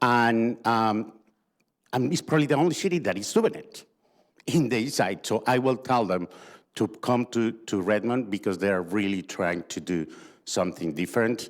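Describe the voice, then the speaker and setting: Lively intonation marks this man's medium-pitched voice, which has a non-native accent. He speaks at a moderate pace in a very clean recording with a silent background. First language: not English. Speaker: community organization representative. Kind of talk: panel discussion. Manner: halting.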